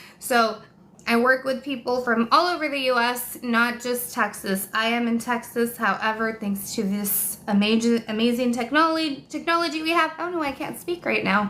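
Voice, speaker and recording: Animated in tone, a woman speaks with a high pitch and ordinary pitch variation. She keeps a moderate pace with hardly any pauses. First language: Spanish. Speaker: online exam tutor. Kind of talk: live stream chat and course pitch. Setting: live stream.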